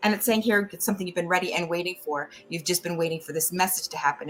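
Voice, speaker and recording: A woman with an American accent talks at a fairly low pitch with ordinary pitch variation. There is noticeable background noise. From US East Coast. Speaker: tarot reader and psychic. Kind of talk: tarot reading. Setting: live stream. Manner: fast.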